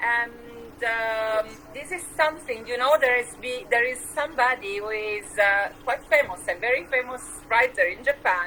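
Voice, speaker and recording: A high-pitched woman's voice at a moderate pace, with ordinary pitch variation and noticeable background noise. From Switzerland. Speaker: poetry show host. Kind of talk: interview.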